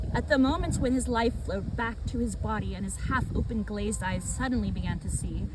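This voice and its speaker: The speech moves at a fairly quick pace. Noticeable background noise runs underneath it. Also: woman. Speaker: ASMR reader / channel host. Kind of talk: ASMR literary reading of a book, read aloud.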